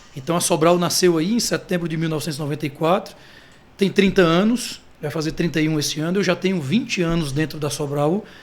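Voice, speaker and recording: Speaking fairly quickly, a man uses a high pitch. His pitch variation is ordinary. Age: 30s. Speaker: marketing director of family business. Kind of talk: interview conversation.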